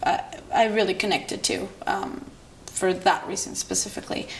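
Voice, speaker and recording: A woman speaks at a moderate pace, and the room echo is audible. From Israel, Jerusalem. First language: Hebrew. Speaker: filmmaker. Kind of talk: interview monologue. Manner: halting.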